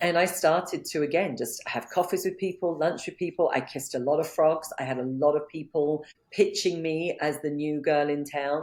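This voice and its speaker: At a moderate pace and with hardly any pauses, a woman with a very deep, low voice and a non-native accent speaks in fairly even intonation. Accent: foreign, non-American. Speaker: business coach. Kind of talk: interview.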